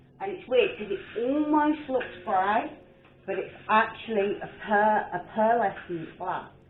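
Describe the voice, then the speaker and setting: A woman's fairly high voice at a fairly slow pace, with very wide pitch swings and audible room echo. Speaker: art painter and video creator. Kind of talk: casual chat while painting. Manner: rambling, chatty.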